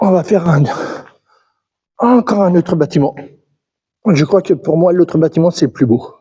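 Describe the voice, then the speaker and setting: This man speaks in a high pitch with a dark, mellow tone, very even loudness and ordinary pitch variation, taking long, frequent pauses in a dry, close sound with no echo. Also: moderate pace. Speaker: urban explorer vlogger. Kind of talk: vlog walkthrough narration. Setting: abandoned mine buildings, echoing. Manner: halting, repeats words.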